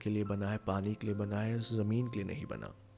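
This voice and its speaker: Music plays in the background as a man speaks. His fairly low voice has monotone, flat intonation. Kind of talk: motivational podcast talk.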